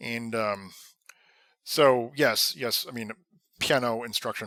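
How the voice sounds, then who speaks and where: A man with a medium-pitched voice speaks in a confident tone that is bright and sharp. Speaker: podcaster and former professor. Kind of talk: philosophical monologue. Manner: halting, stammering with many repetitions; confident, unscripted speaking.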